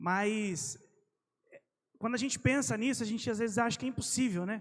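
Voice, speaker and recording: Lively intonation marks this man's high-pitched voice. He talks at a moderate pace. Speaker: preacher. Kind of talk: sermon.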